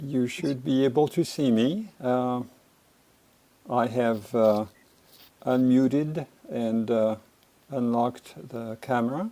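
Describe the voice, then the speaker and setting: At a very slow pace with long, frequent pauses, a man talks in a dark, mellow tone at medium pitch with ordinary pitch variation. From France. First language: French. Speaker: resident speaking at public hearing. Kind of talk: public comment at hearing. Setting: video call. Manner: hesitant, many fillers.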